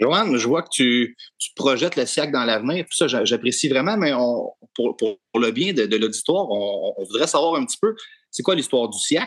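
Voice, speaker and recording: Lively in intonation, a man speaks at a moderate pace with a fairly high pitch. He has a plain, everyday voice, and the sound is dry and close with no echo. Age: young. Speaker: podcast co-host, dairy farmer. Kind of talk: podcast interview.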